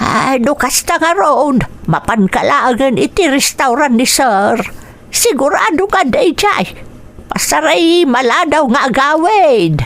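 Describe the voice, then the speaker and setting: In a put-on character voice, a woman speaks at a high pitch and a very slow pace, her pitch swinging very widely while her loudness stays very even, with light background noise behind her. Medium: audio drama. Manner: warm, chatty.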